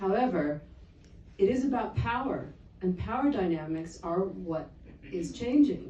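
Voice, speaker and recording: The speaker, with an American accent, talks at a fairly slow pace with long, frequent pauses and very wide pitch swings. Noticeable background noise and audible room echo fill the recording. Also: woman, medium pitch for a woman. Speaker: geopolitical analyst. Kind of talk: conference talk.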